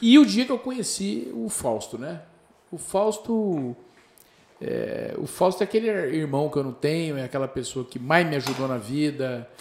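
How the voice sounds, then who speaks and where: A man talks at a fairly slow pace with a fairly high pitch. His pitch swings very widely and his loudness swings widely too. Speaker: TV presenter, former celebrity chauffeur. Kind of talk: casual chat.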